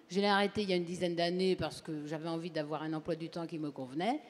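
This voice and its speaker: A woman's voice sits at a fairly low pitch, with a dark, mellow tone. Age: 60s. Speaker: audience member at a health talk. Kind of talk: audience testimony at a public conference.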